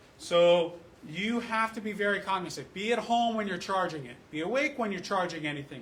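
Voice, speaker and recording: The voice shows ordinary pitch variation over noticeable background noise, with audible echo from the room. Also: man. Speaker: fire rescue officer. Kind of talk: public meeting presentation. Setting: community council meeting. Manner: fast.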